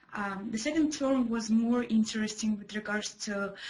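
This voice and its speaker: Fairly slow, fairly even speech in a Russian accent. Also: woman. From Kazakhstan. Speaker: former ESL student. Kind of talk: student testimony. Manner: halting with fillers.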